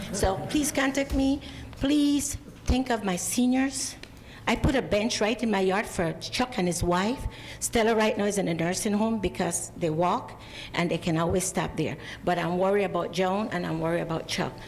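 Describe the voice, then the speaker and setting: In a room with audible echo, a woman with a non-native accent speaks at a moderate pace and medium pitch, her intonation lively and her loudness very even. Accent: foreign. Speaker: public commenter at city council. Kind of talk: public comment. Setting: city council meeting.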